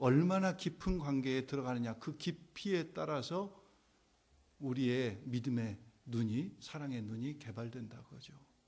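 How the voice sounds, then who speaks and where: There is audible room echo as a man speaks at a fairly slow pace and a medium pitch. His intonation is lively, and his loudness swings widely. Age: 60s. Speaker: pastor. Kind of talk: sermon. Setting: church. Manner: conversational.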